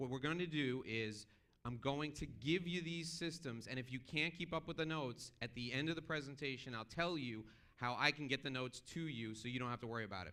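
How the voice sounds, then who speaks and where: With a bright, sharp and animated tone, a man speaks fairly quickly at a medium pitch in an American accent, his pitch varying in an ordinary way. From New York. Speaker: motivational business speaker. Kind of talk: keynote speech. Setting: stage with audience. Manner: fast.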